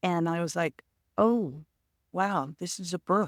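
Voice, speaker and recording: A very slow woman's voice, fairly low in pitch, with ordinary pitch variation, on a very clean recording with a silent background. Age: 60s. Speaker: author and motorcyclist. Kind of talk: casual interview.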